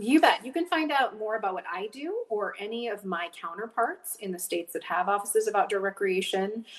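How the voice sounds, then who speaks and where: This woman has a plain, everyday voice with an American accent. Her pitch is fairly high, her intonation lively, and her pace fairly quick. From Montana, US. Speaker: state outdoor recreation official. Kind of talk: casual interview.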